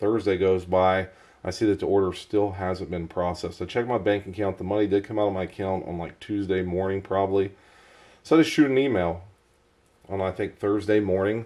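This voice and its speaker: Over a quiet background, a man with a fairly low pitch and a dark, mellow tone speaks at a fairly quick pace with fairly even intonation. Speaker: knife reviewer. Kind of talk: casual talk to camera. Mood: mildly annoyed storytelling.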